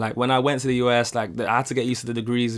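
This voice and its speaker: A man speaks very fast at a medium pitch with a British accent. The recording is very clean, with a silent background. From United Kingdom. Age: young. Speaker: YouTube reaction creator. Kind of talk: casual talk to camera.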